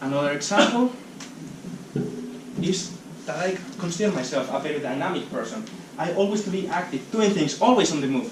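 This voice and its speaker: A high-pitched man with a Spanish accent, fairly quick and lively in intonation, with long, frequent pauses, audible room echo and noticeable background noise. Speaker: speaker at a talk event. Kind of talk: public talk. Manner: halting.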